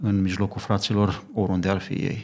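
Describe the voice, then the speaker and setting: On a very clean recording with a silent background, a man speaks fairly slowly at a fairly low pitch. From Romania, Bucharest. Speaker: lay preacher, church member. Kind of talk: religious discussion on radio. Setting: studio.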